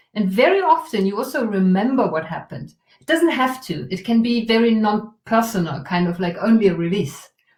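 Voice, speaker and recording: At a moderate pace, a woman speaks with a fairly high pitch, a somewhat breathy quality and lively intonation. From Germany. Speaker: trauma release workshop facilitator. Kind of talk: guided exercise in interview.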